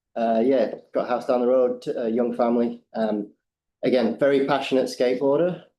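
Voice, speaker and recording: With an English accent, a man talks fairly quickly at a medium pitch, his intonation fairly even and his loudness very even. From England. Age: middle-aged. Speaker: skate ramp builder. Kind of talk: public deputation. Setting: council meeting.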